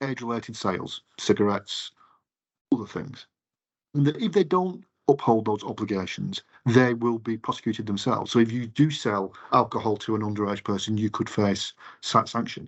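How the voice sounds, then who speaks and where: A man talks at a fairly quick pace with an English accent. His pitch is medium, with ordinary variation. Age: 50s. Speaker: retail campaigns director. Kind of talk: interview. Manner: halting.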